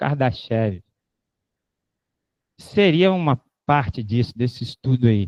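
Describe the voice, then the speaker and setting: With a dark, mellow tone at a medium pitch, a man speaks fairly slowly in a dry, close sound with no echo. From Rio de Janeiro, Brazil. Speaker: invited lecturer. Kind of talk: lecture Q&A. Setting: auditorium with live audience and online stream. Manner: casual, joking.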